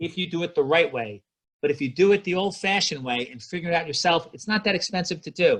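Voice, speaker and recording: A man with an ordinary speaking voice talks at a fairly quick pace, his intonation lively. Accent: American. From US. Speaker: spine surgeon. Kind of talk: lecture. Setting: video call.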